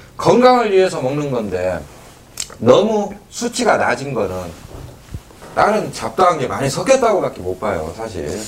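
A man with a fairly high pitch talks at a fairly slow pace. His pitch swings very widely, and there is noticeable background noise. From Geumsan, South Chungcheong, Korea. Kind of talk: interview. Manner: hesitant with fillers.

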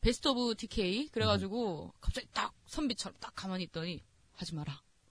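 A woman with a Gyeongsang accent speaks at a moderate pace in a bright, sharp tone, her pitch making very wide swings. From Daegu, South Korea. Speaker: podcast panelist. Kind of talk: casual chat. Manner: blunt, brash.

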